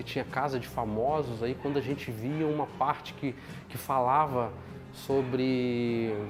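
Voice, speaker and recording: A man speaks at a medium pitch. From Brazil, Minas Gerais (São João del Rei). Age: 40s. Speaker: knifemaker. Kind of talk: documentary interview. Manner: halting, repeats words.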